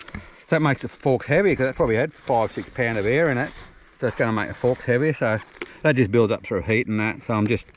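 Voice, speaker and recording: Talking at a very fast pace amid noticeable background noise, a man with an Australian accent holds a medium pitch with ordinary pitch variation. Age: 60s. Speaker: ex-motocross rider. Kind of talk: casual chat. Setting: outdoors.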